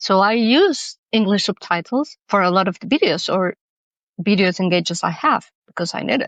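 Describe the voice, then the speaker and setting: A woman speaks with a Spanish accent at a medium pitch, her intonation lively and her pace moderate. The sound is dry and close with no echo, over a quiet background. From Mexico. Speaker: cultural manager and accessibility consultant. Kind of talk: podcast interview.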